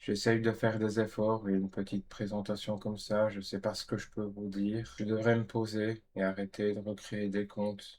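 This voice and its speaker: A man with a fairly low pitch talks in a monotone, flat intonation at a moderate pace with hardly any pauses. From Belgium, Namur area. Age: 30s. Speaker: vlogger. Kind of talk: casual vlog monologue. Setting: home bedroom.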